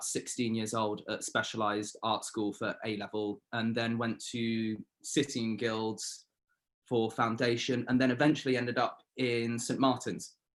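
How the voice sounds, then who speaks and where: In a southern English accent, a man speaks at a moderate pace with fairly even intonation on a very clean recording with a silent background. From Surrey, southern England. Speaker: painter. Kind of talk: interview.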